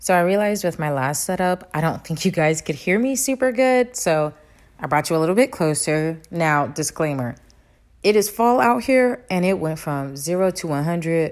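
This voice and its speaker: At a moderate pace, a woman with a fairly low pitch sounds animated, her pitch swinging very widely, on a very clean recording with a silent background. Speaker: vlogger giving personal advice. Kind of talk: casual vlog talk to camera.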